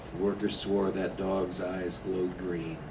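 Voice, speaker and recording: A man with an American accent is talking, and noticeable noise can be heard behind him. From Indiana, USA. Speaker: ghost story author. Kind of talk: ghost story told to a live audience.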